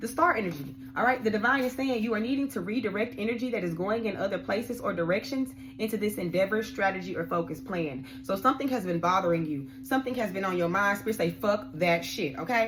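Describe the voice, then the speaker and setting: Here a woman at a medium pitch rushes along at a very fast pace with hardly any pauses. Her pitch swings very widely, and noticeable background noise runs underneath. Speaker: tarot card reader. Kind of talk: tarot reading. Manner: animated.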